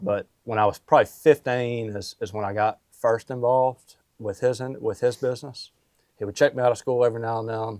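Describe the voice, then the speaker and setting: With a Mississippi accent and a medium pitch, a man talks at a fairly quick pace with fairly even intonation, the sound dry and close with no echo. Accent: Southern US (Mississippi). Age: 20s. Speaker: roofing company owner. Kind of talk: podcast interview. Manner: casual, filler-heavy.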